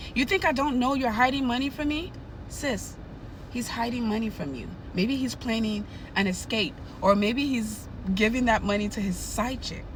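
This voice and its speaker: A woman talks at a fairly high pitch and moderate pace with ordinary pitch variation, over noticeable background noise and audible room echo. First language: not English. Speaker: nurse and narcissism educator. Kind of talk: advice monologue to camera. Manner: animated.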